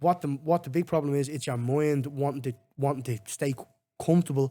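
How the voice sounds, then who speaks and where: A man with a Dublin accent speaks at a fairly quick pace and fairly high pitch, his tone dark and mellow and his intonation fairly even. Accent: Dublin Irish. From Ireland, Finglas, Dublin. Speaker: MMA fighter. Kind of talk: casual chat.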